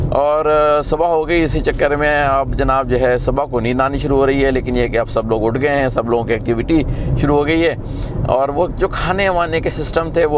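A man talks at a fairly quick pace. The sound is dry with no echo, but noticeable background noise is present. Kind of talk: casual vlog chat. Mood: relaxed reminiscing. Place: car. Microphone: camera far.

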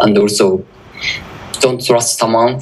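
A man with a Japanese accent, fairly slow pace, ordinary pitch variation, audible room echo and noticeable background noise. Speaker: security researcher. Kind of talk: conference talk.

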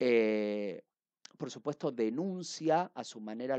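A man speaks with ordinary pitch variation. The sound is dry with no echo, over a quiet background. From Argentina. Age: 30s. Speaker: book reviewer. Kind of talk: book review monologue. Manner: hesitant with frequent fillers. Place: home room. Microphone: headset.

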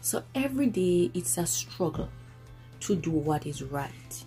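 A woman talks at a very slow pace. Faint music plays in the background. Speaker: parent vlogger. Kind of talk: casual vlog chat. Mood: earnest, firm. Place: home room. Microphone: phone near.

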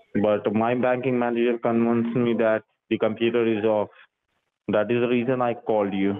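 In a monotone, flat delivery, a man speaks at a fairly quick pace with very even loudness. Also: medium pitch for a man. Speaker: phone scammer posing as banking officer. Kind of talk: scripted customer-service talk. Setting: phone call. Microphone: phone line.

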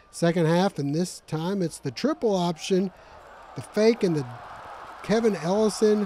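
A man talks at a moderate pace in an upbeat tone, his high pitch varying in an ordinary way. Noticeable background noise is present. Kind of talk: sports commentary. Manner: brisk, upbeat play-by-play delivery with rising excitement at big plays; clear, polished broadcaster narration.

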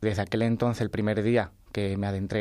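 At a moderate pace, a man speaks fairly low in a dark, mellow tone and flat monotone, with a dry sound with no echo and a quiet background. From Andalusia, Chiclana (Cádiz); Andalusia. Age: 20s. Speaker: science writer; interview guest. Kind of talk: radio interview. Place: studio.

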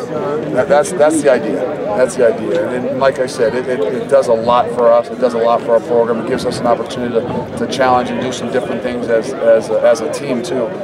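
A man talks at a very fast pace with ordinary pitch variation. Loud background noise runs behind him. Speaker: head football coach. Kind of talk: interview answer. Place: stadium. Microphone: handheld.

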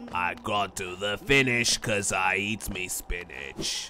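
A man uses a put-on character voice at a fairly low pitch. He speaks at a fairly slow pace over clear background noise. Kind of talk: slangy, pirate-like. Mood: playful, jokey.

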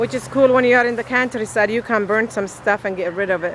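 A woman with fairly even intonation, in a dry sound with no echo and light background noise. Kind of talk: casual vlog chat. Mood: amused, relaxed. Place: garden. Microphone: phone near.

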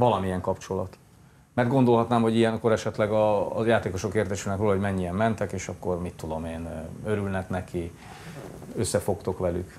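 This man talks at a fairly quick pace in a plain, everyday voice, pitched fairly low with fairly even intonation. Light background noise sits behind him. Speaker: morning TV sports show host. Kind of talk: studio interview. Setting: TV studio. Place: studio.

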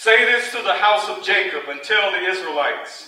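With audible room echo, a man talks in a raised, projected voice with ordinary pitch variation. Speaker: preacher. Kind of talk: sermon. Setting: church. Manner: animated, call-and-response, joking with the congregation. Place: church.

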